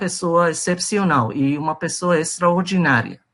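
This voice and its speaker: A man with a Persian accent and a high pitch speaks at a very slow pace over a quiet background. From Iran. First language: Persian (speaking Portuguese). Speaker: presenter of a talk on religion. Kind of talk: presentation to a group. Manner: halting, many fillers.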